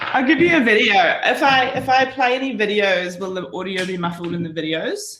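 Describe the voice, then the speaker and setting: Speaking with a New Zealand accent, a woman barely pauses as her pitch swings very widely, with audible room echo and light background noise. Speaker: branding and design presenter; presenter. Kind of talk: workshop presentation. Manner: speaking slower and louder.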